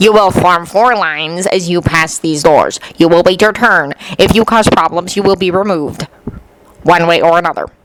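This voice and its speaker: A growling put-on character voice at middle pitch moves along at a moderate pace. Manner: snarling, menacing.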